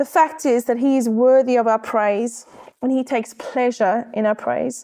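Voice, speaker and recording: With a South African accent, a woman speaks at a moderate pace in a high pitch, her tone dark and mellow and her intonation fairly even. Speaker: church staff member, preacher. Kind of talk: sermon.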